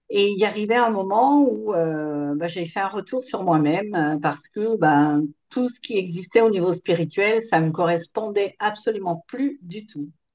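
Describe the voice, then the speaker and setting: A fairly slow pace with hardly any pauses. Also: woman, medium pitch for a woman, lively intonation. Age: 60s. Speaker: former kinesiologist, course participant. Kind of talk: testimony. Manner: hesitant, many fillers.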